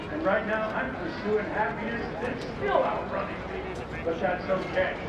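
Speech at a moderate pace carries audible room echo under loud background noise. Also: man. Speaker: airshow announcer. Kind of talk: airshow announcer speaking live over PA to a crowd. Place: stadium.

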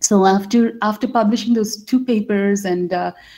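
A dark, mellow, somewhat breathy voice speaks with ordinary pitch variation. The background is quiet. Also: woman. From India. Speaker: life science strategy director, scientist; webinar presenter. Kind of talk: webinar talk. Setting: video call. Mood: reflective, warm. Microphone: webcam.

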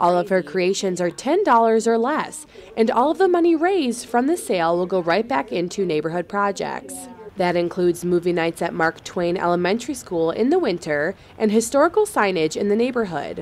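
Noticeable background noise sits behind a woman of medium pitch. She talks at a fairly quick pace with lively intonation. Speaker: news reporter. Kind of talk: TV news package narration.

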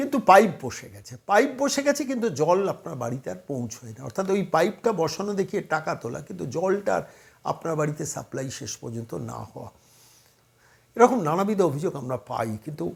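The voice has vocal fry, very wide pitch swings and big swings in loudness. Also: man, fairly high pitch for a man. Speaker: political commentator. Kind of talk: political monologue. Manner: emphatic.

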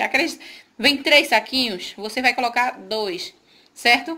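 Her pitch is high, and the woman speaks with lively intonation and a bright, sharp tone. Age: 40s. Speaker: home cook, cooking channel host. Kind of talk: cooking tutorial talk to camera. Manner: warm, chatty. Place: kitchen. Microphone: phone near.

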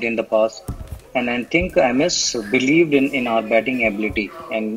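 A man talking at a fairly quick pace over light background noise. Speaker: remote guest. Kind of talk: interview answer. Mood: relaxed, reminiscing. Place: home room. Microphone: video call.

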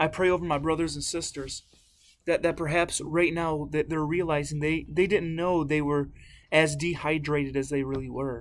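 At a moderate pace, a man speaks at a fairly high pitch with little pitch movement.

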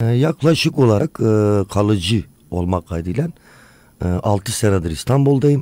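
A man speaks at a moderate pace in a fairly low pitch, with very wide pitch swings and long, frequent pauses. The sound is dry and close, with no echo. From Turkey. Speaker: tourism business owner. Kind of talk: interview. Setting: radio studio.

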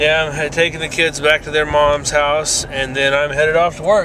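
Noticeable background noise sits in an otherwise dry, echo-free sound. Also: man. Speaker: vlogger. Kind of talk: casual vlog chat. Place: car. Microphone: phone near.

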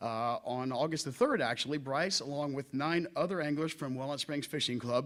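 A fairly high-pitched man speaks with ordinary pitch variation on a very clean recording with a silent background. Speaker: teacher. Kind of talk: speech at a public meeting. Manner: loud; halting, many fillers.

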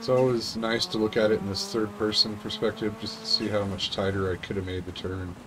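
A man talks at a very fast pace in a fairly low pitch. Noticeable background noise sits behind him. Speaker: gaming YouTuber. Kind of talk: casual gameplay commentary. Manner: animated, excitable. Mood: relaxed, self-critical.

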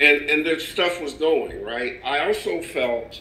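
A man talks at a fairly slow pace. The room echo is audible, and background noise is noticeable. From Canada and Kentucky. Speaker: music industry executive and talk show co-host. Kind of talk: interview.

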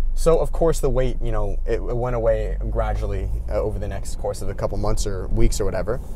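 With hardly any pauses, a man talks at a fairly quick pace over light background noise, the sound dry with no echo. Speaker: YouTube creator. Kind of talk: casual vlog. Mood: reflective, earnest. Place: car. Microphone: phone near.

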